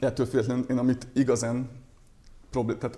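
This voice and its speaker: A man talks at a very fast pace in a monotone, flat intonation. His tone is dark and mellow. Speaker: doctor. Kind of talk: interview. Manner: halting.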